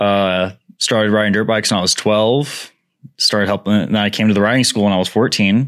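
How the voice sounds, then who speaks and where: On a very clean recording with a silent background, a man with an ordinary speaking voice and fairly low pitch talks at a fairly quick pace, his intonation fairly even and his loudness very even. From Nevada (Pahrump), moved from Alaska at ten. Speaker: dirt bike riding coach. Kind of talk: casual chat.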